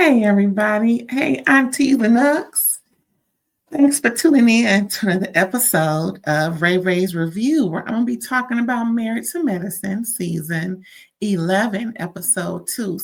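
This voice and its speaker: A woman does a raspy, put-on character voice at medium pitch and a moderate pace. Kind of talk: casual, chatty.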